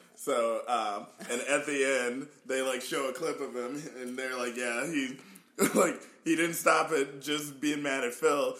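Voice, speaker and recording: Over noticeable background noise, a man with a fairly high pitch talks at a fairly slow pace with fairly even intonation. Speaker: podcast co-host. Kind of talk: casual chat.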